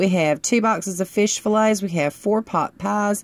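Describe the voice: A woman's voice at medium pitch and a fairly slow pace. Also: ordinary pitch variation.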